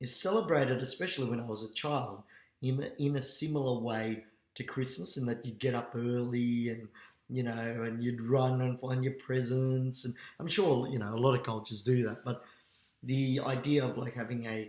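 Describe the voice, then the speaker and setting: A man with an Australian accent talks at a fairly quick pace. His medium pitch follows a fairly even intonation. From Australia, Melbourne (Fitzroy). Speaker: teacher. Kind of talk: personal monologue. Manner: halting, many fillers.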